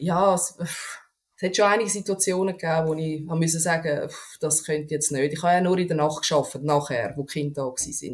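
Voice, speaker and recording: A woman with a fairly low pitch speaks with fairly even intonation. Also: fairly quick pace. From Switzerland, canton Aargau. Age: 30s. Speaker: podcast guest. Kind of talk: casual interview conversation.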